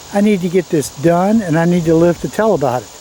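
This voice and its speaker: A man with a Southern US accent and a high pitch talks at a moderate pace with ordinary pitch variation, against noticeable background noise. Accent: Southern US (Georgia). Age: 70s. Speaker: gardening youtuber. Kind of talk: casual gardening tutorial. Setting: outdoors in a garden. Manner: casual, folksy.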